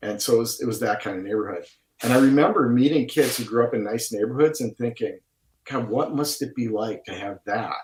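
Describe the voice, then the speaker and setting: A somewhat breathy voice with a strong Wisconsin accent, ordinary pitch variation and a fairly quick pace. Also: man, medium pitch for a man. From Milwaukee, Wisconsin. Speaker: painter, artist. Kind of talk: casual chat. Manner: over-enunciated.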